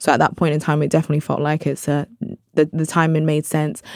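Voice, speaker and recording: With a London accent, a woman speaks in a very deep, low pitch. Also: dry, close sound with no echo. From South London (Brixton), British Nigerian. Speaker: journalist and producer. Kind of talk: casual interview.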